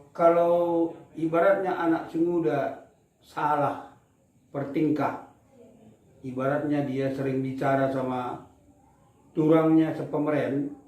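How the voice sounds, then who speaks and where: In a room with audible echo, a man speaks with monotone, flat intonation at a very slow pace, leaving long, frequent pauses. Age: 70s. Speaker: elder explaining culture. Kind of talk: interview.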